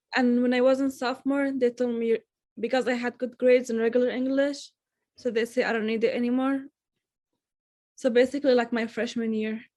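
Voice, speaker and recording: A woman with an Arabic accent speaks in a high pitch with a dark, mellow tone. Her intonation is monotone and flat, with long, frequent pauses. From Syria. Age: young, recent high school graduate. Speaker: student, refugee. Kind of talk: interview answers.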